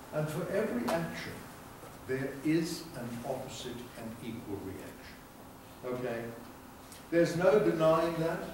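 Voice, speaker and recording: A man at a fairly high pitch, lively in intonation, at a moderate pace with long, frequent pauses, amid audible room echo and noticeable background noise. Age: 70s. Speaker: health educator. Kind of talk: lecture. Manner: animated.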